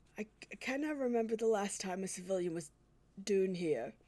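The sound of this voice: A woman does a put-on character voice in a Scottish accent, medium in pitch and shaky. Her intonation is lively and her pace moderate.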